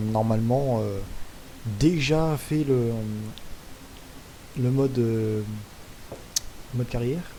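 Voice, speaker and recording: Audible room echo and noticeable background noise fill this recording. Through them, a man talks at a very slow pace. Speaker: gaming youtuber. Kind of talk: gameplay commentary.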